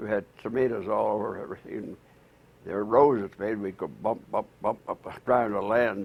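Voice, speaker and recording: This man talks at a fairly quick clip with an American accent, his fairly low pitch marked by vocal fry. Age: 80s+. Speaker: centenarian interviewee. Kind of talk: casual interview. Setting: at his home. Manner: halting.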